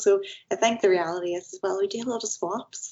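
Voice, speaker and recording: With a Northern Irish accent, a woman speaks with fairly even intonation. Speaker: multidisciplinary artist. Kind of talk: podcast interview.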